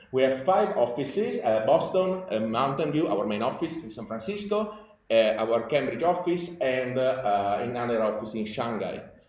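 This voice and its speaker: Someone with an Italian accent speaks at a moderate pace, with very wide pitch swings. Noticeable background noise and audible room echo fill the recording. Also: man, medium pitch for a man. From Italy. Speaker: industry scientist. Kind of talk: conference presentation. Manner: halting, many fillers.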